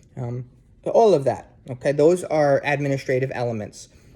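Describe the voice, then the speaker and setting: A man's dark, mellow, somewhat breathy voice with an American accent. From New Jersey, US. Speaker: university instructor. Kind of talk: casual lecture to students. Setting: sitting on couch at home, video. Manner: hesitant, many fillers.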